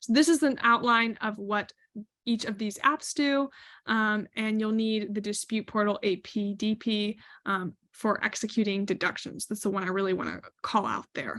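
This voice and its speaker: Against a quiet background, a woman with an ordinary speaking voice talks at a moderate pace, fairly high in pitch, with fairly even intonation. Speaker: webinar presenter on retail supplier topics. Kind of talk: webinar presentation.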